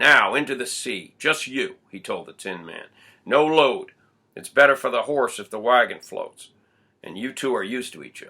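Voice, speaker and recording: Using a put-on character voice that is gruff and medium in pitch, a man speaks at a moderate pace with big swings in loudness in a very clean recording with a silent background. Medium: read story. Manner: gruff, commanding.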